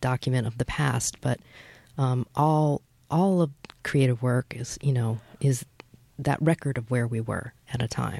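A woman with a Midwestern American accent, very deep, low pitch and a dark, mellow tone, plus long, frequent pauses. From US Midwest, Michigan (Flint, Troy). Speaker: writer and professor. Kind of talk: radio interview. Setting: radio studio.

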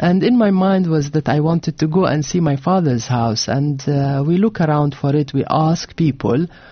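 In a Levantine Arabic accent, a woman speaks with a very deep, low pitch and a somewhat breathy quality. Her pace is moderate with hardly any pauses, and she has ordinary pitch variation and very even loudness. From Jordan (Amman), Palestinian family. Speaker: author and architect. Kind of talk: interview. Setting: radio studio.

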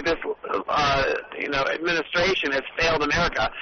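Noticeable background noise sits behind a man with a fairly high pitch. He speaks at a fairly quick pace with fairly even intonation. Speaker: political activist. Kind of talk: interview about politics. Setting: phone call from a car.

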